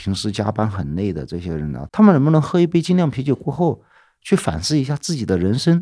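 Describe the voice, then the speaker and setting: A man's medium-pitched voice at a moderate pace, with very wide pitch swings, on a very clean recording with a silent background. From northeastern Chongqing (formerly Sichuan), small county town. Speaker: craft brewery founder and electronic musician. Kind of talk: casual interview.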